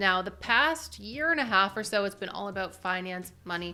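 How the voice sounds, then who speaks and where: Over music in the background, a woman at medium pitch speaks at a fairly quick pace. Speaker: youtube creator. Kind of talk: vlog-style talk to camera. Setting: home video setup. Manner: soft-spoken; quiet.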